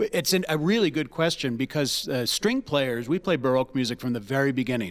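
An unremarkable speaking voice from a man, medium in pitch, fairly quick, with lively intonation. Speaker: orchestra director and violist. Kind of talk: casual interview chat.

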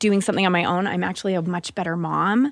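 With an American accent, a woman has an unremarkable speaking voice, medium in pitch, at a fairly quick pace with fairly even intonation. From Utah. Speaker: mother of five on parenting panel. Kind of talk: casual chat.

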